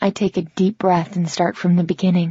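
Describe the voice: A woman speaks at a moderate pace and fairly low pitch, her dark, mellow tone carrying a slightly husky edge, with little pitch movement and a dry, close sound with no echo.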